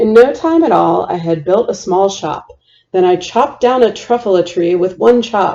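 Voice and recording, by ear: The speaker reads a passage. It is reading aloud in a natural voice.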